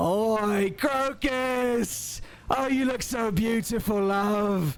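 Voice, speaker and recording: Using a put-on character voice, a man speaks at a high pitch. His pace is very slow, with light background noise. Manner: flirty, friendly, admiring.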